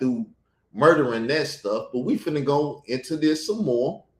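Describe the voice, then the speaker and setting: A man speaks with a fairly high pitch and a somewhat breathy quality. His intonation is lively. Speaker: YouTube commentator. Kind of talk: casual commentary.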